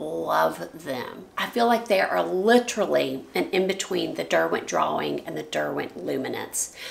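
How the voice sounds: A woman's raspy voice, with vocal fry and ordinary pitch variation, comes at a fairly slow pace amid audible room echo.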